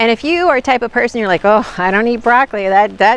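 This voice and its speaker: Woman's voice with ordinary pitch variation and a dry sound with no echo. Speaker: nutrition channel host. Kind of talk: casual vlog chat. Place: forest. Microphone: phone near.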